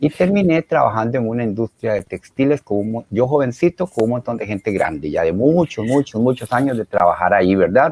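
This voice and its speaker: With hardly any pauses, a man talks at a fairly quick pace and a medium pitch, his pitch swinging very widely in a dry, close sound with no echo. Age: 60s. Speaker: retired engineer, helpline volunteer. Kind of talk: interview. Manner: animated; halting, many fillers.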